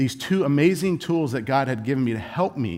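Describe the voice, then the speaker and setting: A man with a Californian accent, animated in tone, at a moderate pace. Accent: Californian American. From Southern California. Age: 40s. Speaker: conference speaker. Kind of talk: conference talk.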